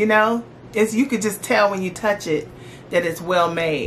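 A woman speaks with ordinary pitch variation, and light background noise sits behind her. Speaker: lifestyle vlogger. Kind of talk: casual vlog chat. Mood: cheerful, enthusiastic. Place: home room.

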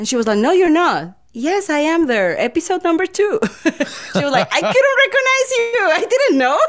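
With a Colombian accent, a woman speaks at an extremely high pitch with very wide pitch swings. Her pace is moderate, with hardly any pauses. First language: Spanish. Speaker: voice actor. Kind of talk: interview answer. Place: home room. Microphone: studio mic.

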